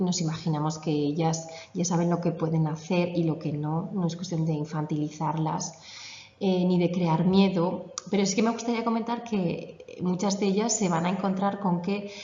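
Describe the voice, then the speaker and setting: A woman's fairly low voice at a moderate pace, with ordinary pitch variation, audible room echo and noticeable background noise. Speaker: yoga teacher. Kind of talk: conference talk.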